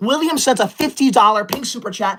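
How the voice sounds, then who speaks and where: Noticeable background noise sits behind a voice with an animated tone. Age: 20s. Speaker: YouTube livestreamer. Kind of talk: live stream chat. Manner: fast.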